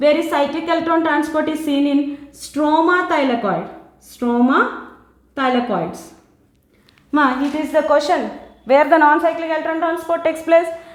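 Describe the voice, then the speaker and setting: A woman with an Indian accent speaks in a high pitch at a moderate pace. Audible room echo surrounds her voice. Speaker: biology teacher. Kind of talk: lecture.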